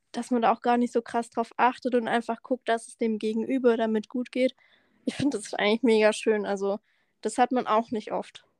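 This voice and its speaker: A woman with a fairly high pitch talks in a flat monotone. Her loudness swings widely, and the sound is dry and close with no echo. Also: moderate pace. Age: 20s. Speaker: podcast co-host, trainee tax clerk. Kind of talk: casual chat. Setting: remote call.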